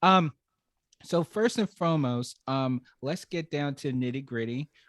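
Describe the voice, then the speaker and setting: At a fairly slow pace, a man in a New York accent speaks with medium pitch and lively intonation, the sound dry and close with no echo. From Brooklyn, New York. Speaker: podcast host. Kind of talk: podcast interview. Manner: halting, many fillers.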